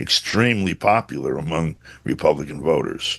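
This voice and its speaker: A fairly quick pace from a male speaker. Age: 70s. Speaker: journalist. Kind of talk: interview commentary. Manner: halting with many fillers.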